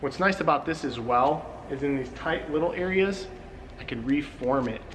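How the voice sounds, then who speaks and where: A man speaks with a fairly high-pitched voice. Noticeable background noise and audible room echo surround him. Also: ordinary pitch variation, moderate pace. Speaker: car detailing show host. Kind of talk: tutorial. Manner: animated.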